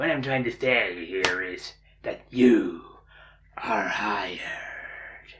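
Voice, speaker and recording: Raspy and very slow, a man speaks. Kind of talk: comic overacting. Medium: comedy sketch. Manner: smug, businesslike.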